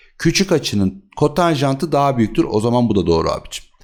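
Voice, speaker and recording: A man with a medium pitch makes very wide pitch swings while speaking at a moderate pace. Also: very clean recording, silent background. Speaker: math teacher. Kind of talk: tutorial. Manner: slight lisp at times; conversational, rhetorical questions.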